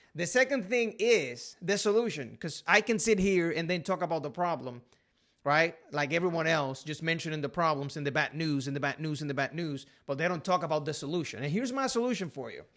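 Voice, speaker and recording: In a Puerto Rican accent, a man with a fairly high pitch speaks fairly quickly with lively intonation, over a very clean recording and a silent background. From Puerto Rico. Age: 30s. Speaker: realtor. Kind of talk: casual talk to camera.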